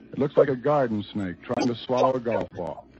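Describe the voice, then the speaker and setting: An ordinary speaking voice from a man, medium in pitch, at a moderate pace, with ordinary pitch variation. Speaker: radio reporter interviewing a test pilot. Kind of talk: 1940s radio reportage and interview. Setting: vintage radio broadcast recording.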